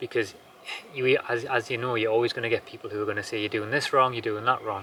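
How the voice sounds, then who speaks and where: A man talks with a Geordie accent in a monotone, flat intonation. The recording is very clean, with a silent background. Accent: Geordie, slowed down for camera. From northern England, Newcastle area. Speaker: homesteader vlogger. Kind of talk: casual vlog chat. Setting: outdoors at sunset, homestead.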